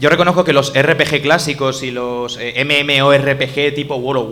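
This is a normal speaking voice. The intonation is fairly even. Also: man. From Spain, Elche. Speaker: podcaster. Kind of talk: casual chat. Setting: live event with audience.

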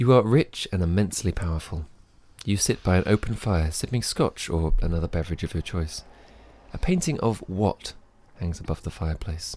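A man with a very deep, low pitch speaks in a dark, mellow, somewhat breathy tone with ordinary pitch variation. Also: moderate pace. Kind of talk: casual banter. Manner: joking, playful.

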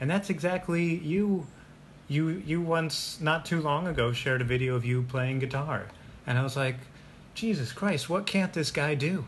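An American man's ordinary speaking voice, fairly high in pitch, with very even loudness, ordinary pitch variation and a moderate pace. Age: 30s. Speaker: podcast host. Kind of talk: casual chat.

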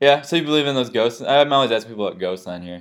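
With ordinary pitch variation, a man speaks at a very fast pace. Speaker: podcast host. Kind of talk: casual chat. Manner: low energy.

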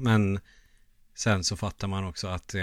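A man with an unremarkable speaking voice talks at a moderate pace and a fairly low pitch, on a very clean recording with a silent background. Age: 30s. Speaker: podcast co-host, gamer. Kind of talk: casual chat.

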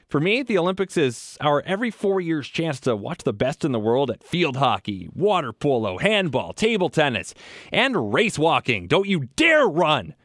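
A man with fairly high pitch and vocal fry speaks at a moderate pace, with an animated tone, very wide pitch swings and hardly any pauses. The recording is very clean with a silent background and a dry, close sound with no echo. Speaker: podcast host. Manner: animated, sarcastic and wry, venting about sports misery.

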